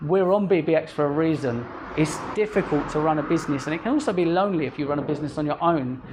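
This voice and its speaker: A man with a fairly high pitch and ordinary pitch variation rattles along at a very fast pace over noticeable background noise. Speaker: social media consultant giving a talk. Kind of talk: presentation to business owners. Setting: restaurant event with live audience. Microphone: recorded on mobile phone in pocket.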